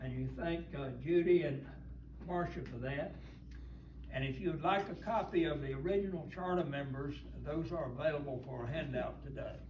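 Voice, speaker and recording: The speaker has an American accent and talks at a moderate pace. Noticeable background noise and audible room echo fill the recording. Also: man. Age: 90s. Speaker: church elder. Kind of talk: talk to a church group. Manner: halting.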